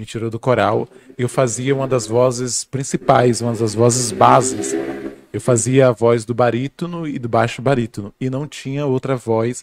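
A plain, everyday voice moves at a moderate pace with fairly even intonation, the sound dry and close with no echo. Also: man, medium pitch for a man. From Bahia, Brazil. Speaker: guest speaker on philosophy. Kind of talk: casual podcast conversation.

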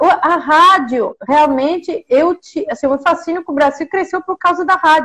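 This woman's pitch is extremely high. She talks at a moderate pace. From Mexico. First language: Spanish (speaking Portuguese). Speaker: professor. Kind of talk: interview. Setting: video call.

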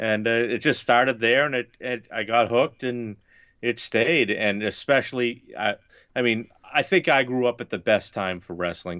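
A man with an unremarkable speaking voice talks at a fairly quick pace, with medium pitch and ordinary pitch variation. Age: 30s. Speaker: wrestling podcaster. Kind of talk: casual chat.

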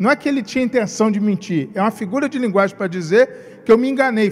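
A man with a Rio de Janeiro accent talks at a fairly quick pace in a high pitch. His pitch varies in an ordinary way, and there is noticeable background noise. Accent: carioca. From Rio de Janeiro, Brazil. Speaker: pastor. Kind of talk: sermon. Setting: livestreamed church service.

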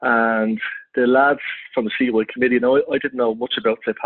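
A man speaks in a Dublin accent. His intonation is monotone and flat. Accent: Dublin Irish. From Ireland, north Dublin. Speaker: football club secretary. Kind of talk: interview.

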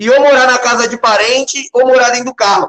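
The speaker is a man. His pitch is extremely high. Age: 20s. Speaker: online commentator. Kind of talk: casual chat. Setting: live stream.

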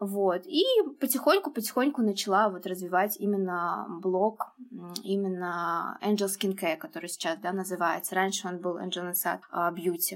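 A woman with an ordinary speaking voice, medium pitch and ordinary pitch variation, at a moderate pace. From Uzbekistan. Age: 20s. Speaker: skincare blogger. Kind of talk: casual chat.

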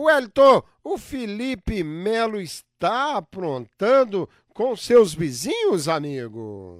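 Very slow speech from a man with a high pitch and very wide pitch swings, dry and close with no echo, in a very clean recording over a silent background. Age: 60s. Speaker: radio host. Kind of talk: radio talk show.

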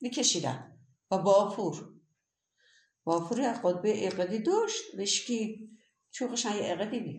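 In a room with audible echo, a woman talks at a moderate pace with fairly high pitch, lively intonation, a somewhat breathy quality, big swings in loudness and long, frequent pauses. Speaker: grandmother. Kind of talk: interview. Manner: animated.

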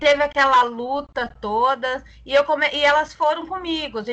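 A woman projects her voice in a raised, high pitch with a bright, sharp tone. Her intonation is lively and her pace moderate. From Brazil, interior of Mato Grosso (Tangará da Serra). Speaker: community activist. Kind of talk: casual panel conversation.

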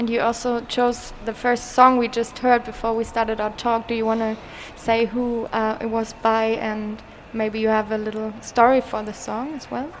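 A woman with a German accent talks at a moderate pace in a monotone, flat intonation over noticeable background noise. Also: fairly high pitch for a woman. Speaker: community radio host. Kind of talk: casual interview. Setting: live broadcast in an exhibition hall.

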